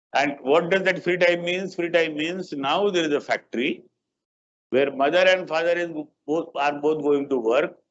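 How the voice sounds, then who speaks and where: In an Indian accent, a man speaks in a high pitch at a moderate pace with fairly even intonation. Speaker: guest lecturer. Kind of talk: lecture.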